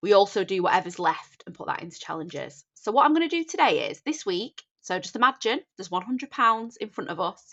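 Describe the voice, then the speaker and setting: A woman with a Northern English accent speaks at a fairly high pitch, her pitch swinging very widely. Her loudness rises and falls in big swings. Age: 30s. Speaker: budgeting content creator. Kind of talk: casual talk to camera.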